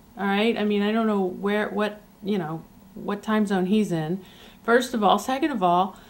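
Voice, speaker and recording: A woman uses a normal speaking voice, fairly high in pitch, at a moderate pace. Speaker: amateur documentary filmmaker. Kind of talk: video diary.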